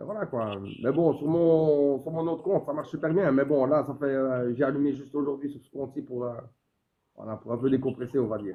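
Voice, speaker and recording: A man at a fairly high pitch and a fairly quick pace, with ordinary pitch variation and big swings in loudness. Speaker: social media streamer. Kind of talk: casual chat. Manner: fast.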